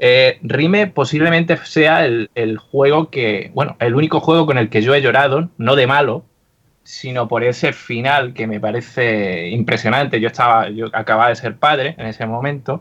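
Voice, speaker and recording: Here a man has an unremarkable speaking voice at a medium pitch. His pace is moderate and his pitch variation ordinary. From Andalusia, Úbeda. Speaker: podcast co-host. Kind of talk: casual chat.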